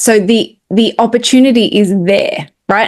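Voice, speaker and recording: This speaker has an Australian accent and ordinary pitch variation. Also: woman. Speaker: spiritual medium and podcast co-host. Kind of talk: casual chat.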